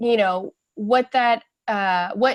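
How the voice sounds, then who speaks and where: With fairly even intonation, this is a normal speaking voice, captured with a dry, close sound and no echo. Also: woman. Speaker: webinar participant. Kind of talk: group discussion report. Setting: online webinar.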